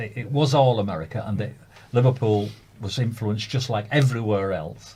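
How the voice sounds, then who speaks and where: Somewhat breathy and dark, mellow in tone, a man with a Lancashire accent talks at medium pitch and a fairly quick pace. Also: ordinary pitch variation. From Lancaster, northern England. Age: 70s. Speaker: hospital radio presenter. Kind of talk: casual chat.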